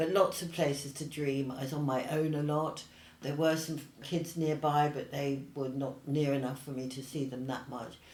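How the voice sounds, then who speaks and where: Audible room echo around a woman's very deep, low voice, fairly slow pace, ordinary pitch variation. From Australia then England from age 10. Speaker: paint company founder and artist. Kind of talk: casual interview. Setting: in-person interview, same room.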